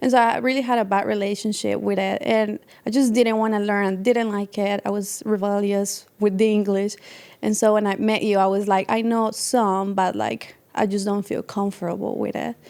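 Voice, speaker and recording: The speaker is a woman talking at a moderate speed. She has a Spanish accent. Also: medium pitch for a woman, fairly even intonation. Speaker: podcast host's wife, artist. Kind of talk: casual interview chat.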